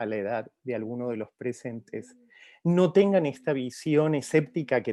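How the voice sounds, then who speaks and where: A man's dark, mellow tone with a non-native accent, set against a quiet background. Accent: foreign accent in Spanish. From outside Mexico. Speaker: professor. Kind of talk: formal address. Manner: hesitant with fillers.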